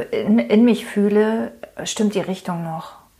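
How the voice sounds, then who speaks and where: A woman's medium-pitched voice moves at a very slow pace. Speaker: podcast host, marketing coach. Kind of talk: solo podcast monologue. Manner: hesitant with many fillers.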